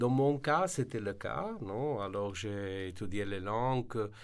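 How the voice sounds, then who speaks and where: A man with a non-native accent speaks at a fairly low pitch with ordinary pitch variation. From Slovenia. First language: Slovene (speaking French). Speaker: translation service director. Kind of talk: radio interview. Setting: radio studio. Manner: halting, many fillers.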